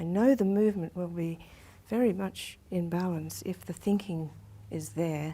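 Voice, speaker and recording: Soft-spoken and calm, a woman talks in a gentle tone at a fairly slow pace. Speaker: Alexander technique teacher. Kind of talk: one-on-one instructional lesson. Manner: very soft-spoken, calm, gentle.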